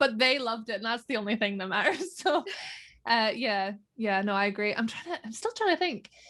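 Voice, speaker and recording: Speaking in a Northern Irish accent, a woman has a fairly high pitch and a bright, sharp tone. Her intonation is lively and her pace fairly quick. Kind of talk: casual interview chat. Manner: casual, chatty.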